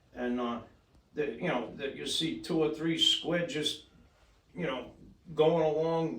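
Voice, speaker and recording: A man's fairly high-pitched voice with long, frequent pauses, noticeable background noise and audible room echo. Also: ordinary pitch variation. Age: 50s. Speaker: surf fishing club president. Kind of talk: casual chat.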